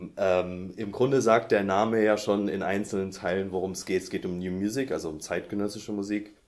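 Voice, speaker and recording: A man in an unremarkable speaking voice talks at a moderate pace with hardly any pauses, his fairly low pitch held to fairly even intonation. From Saxony, near Dresden. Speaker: music publishing editor. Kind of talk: interview.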